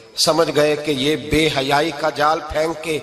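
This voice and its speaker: This is a man's voice. Noticeable background noise can be heard. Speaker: Islamic preacher. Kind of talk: Islamic sermon. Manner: emotional, passionate.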